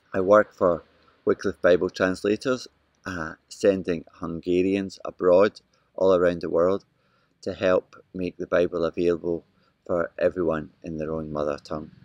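A speaker with a Scottish accent, heard in a dry sound with no echo against a quiet background. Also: man, very deep, low pitch for a man, fairly even intonation, moderate pace. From Scotland. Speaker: missionary with a Bible translation organization. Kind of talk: video update to home church. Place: garden. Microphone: phone near.

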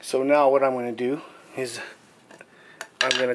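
A man speaking at a moderate pace. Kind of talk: tutorial. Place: home room. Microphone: phone near.

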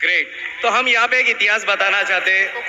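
A man's high voice over light background noise. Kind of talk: stage speech to audience. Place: hall. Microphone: handheld.

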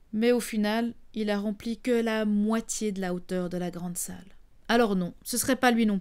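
The woman's fairly high voice moves at a fairly slow pace. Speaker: storyteller. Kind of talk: bedtime story telling, intimate and warm, as if speaking to children. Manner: animated, conversational; playful, teasing, with asides to the audience.

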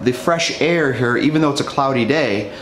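A man talks with ordinary pitch variation. The room echoes audibly, and there is light background noise. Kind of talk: tutorial.

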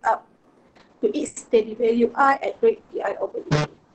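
A woman speaks at a very slow pace with a Malaysian accent. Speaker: physics teacher. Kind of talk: lecture. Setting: online class. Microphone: webcam.

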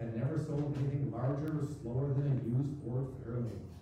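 Strong room echo surrounds a man speaking at a moderate pace with fairly even intonation over light background noise. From Minnesota. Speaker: writer, former surgeon. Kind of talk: reading aloud. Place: stage.

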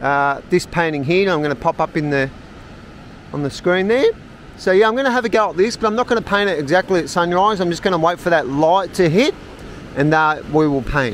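A man talks at a fairly quick pace, the sound dry with no echo and light background noise behind him. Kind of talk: casual vlog chat. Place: garden. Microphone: phone near.

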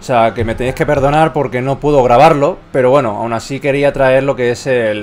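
Background noise is noticeable as a man speaks at a medium pitch. His pace is fairly quick and his intonation fairly even. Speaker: gaming YouTuber. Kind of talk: gameplay commentary.

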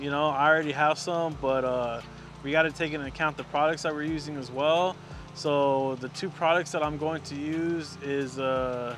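A man speaks at a moderate pace with fairly even intonation. The sound is dry with no echo, though there is noticeable background noise. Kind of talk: interview answer. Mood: relaxed, friendly. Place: street. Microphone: lapel.

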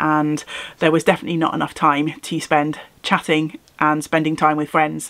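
A woman's very deep, low voice at a moderate pace. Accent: British. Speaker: craft YouTuber. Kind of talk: casual vlog. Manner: animated.

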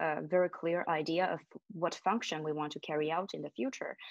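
A woman speaks in a Chinese accent at a fairly low pitch, with ordinary pitch variation. The sound is dry with no echo, over a quiet background. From Shanghai, China. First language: Mandarin Chinese. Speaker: MBA student. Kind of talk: webinar panel discussion. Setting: video call. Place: home room. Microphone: video call.

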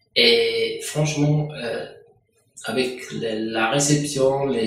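You can hear a man talking. Noticeable echo from the room surrounds his words. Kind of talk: interview answer. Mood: satisfied, calm. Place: office.

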